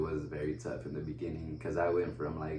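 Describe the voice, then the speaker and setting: A man with a Spanish accent, very deep and low in pitch, at a fairly quick pace with ordinary pitch variation, amid audible room echo and noticeable background noise. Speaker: wheelchair basketball player. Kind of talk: casual interview. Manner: casual, halting with fillers.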